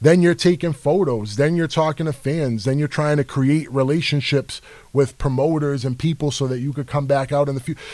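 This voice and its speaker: A plain, everyday voice with an American accent moves at a fairly quick pace with hardly any pauses. The intonation is fairly even. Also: man, fairly high pitch for a man. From New York City, the Bronx. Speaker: rapper. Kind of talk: casual chat.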